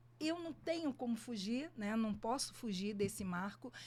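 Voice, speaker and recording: A woman speaks at a fairly slow pace in a dark, mellow tone that is somewhat breathy. Her pitch swings very widely. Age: 60s. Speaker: photographer and music teacher. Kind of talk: podcast interview.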